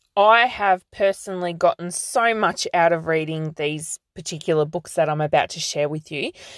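A voice with an Australian accent moves at a moderate pace, hardly pausing, with ordinary pitch variation. The recording is very clean, with a silent background and a dry, close sound with no echo. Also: woman, fairly low pitch for a woman. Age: 30s. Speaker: podcast host and life coach. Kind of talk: solo podcast monologue.

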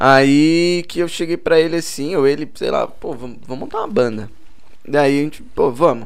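Audible room echo follows a man who speaks at a moderate pace and a fairly high pitch with ordinary pitch variation. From Boituva, São Paulo state, Brazil. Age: 20s. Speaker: musician. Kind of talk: casual chat.

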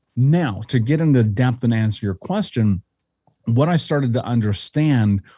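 A man with an American accent, somewhat breathy, with a dark, mellow tone and ordinary pitch variation, on a very clean recording with a silent background and a dry, close sound with no echo. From Indianapolis, US Midwest. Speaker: life coach and author. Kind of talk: interview conversation. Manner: articulate.

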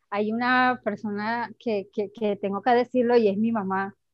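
Speaking fairly slowly, a woman keeps a monotone, flat intonation at a fairly high pitch. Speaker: human rights activist and lawyer. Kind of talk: testimony.

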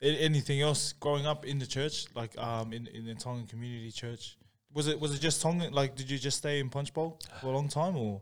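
Talking at a fairly quick pace, a man uses a fairly high pitch and fairly even intonation. He has an Australian accent. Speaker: podcast host. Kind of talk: casual podcast chat. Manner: casual, filler-heavy.

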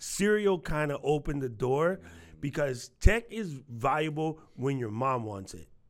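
On a very clean recording with a silent background, a man with an American accent uses an ordinary speaking voice, fairly high in pitch, speaking at a fairly slow pace with lively intonation and big swings in loudness. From New York. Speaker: tech community manager. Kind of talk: casual chat.

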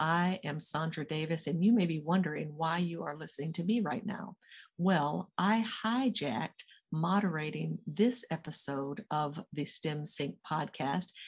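A woman with an American accent speaks at a fairly low pitch and a fairly slow pace. Her voice is somewhat breathy, with ordinary pitch variation. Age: 60s. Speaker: executive coach and guest interviewer. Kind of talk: interview.

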